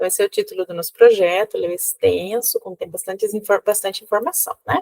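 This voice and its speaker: A woman speaks at a very fast pace with big swings in loudness. The sound is dry and close, with no echo. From Cuba. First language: Spanish (speaking Portuguese). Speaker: university professor. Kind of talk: lecture. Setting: recorded video. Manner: halting.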